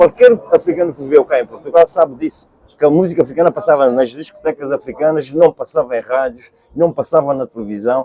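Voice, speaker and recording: A man's fairly high voice at a fairly quick pace, with lively intonation and a dry, close sound with no echo. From Cape Verde. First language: Cape Verdean Creole (speaking Portuguese). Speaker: singer. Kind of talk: interview. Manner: halting.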